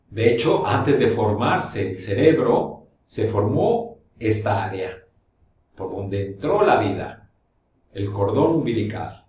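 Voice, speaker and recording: In audible room echo, a man with a fairly low pitch and ordinary pitch variation talks at a very slow pace, leaving long, frequent pauses. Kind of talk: explanatory talk to camera. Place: studio.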